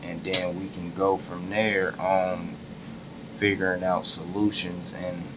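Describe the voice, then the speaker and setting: Over noticeable background noise and audible room echo, a man speaks very slowly in a very deep, low voice with monotone, flat intonation. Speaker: conspiracy-minded video blogger. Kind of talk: casual monologue vlog. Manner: slow, deliberate; halting, with fillers and restarts.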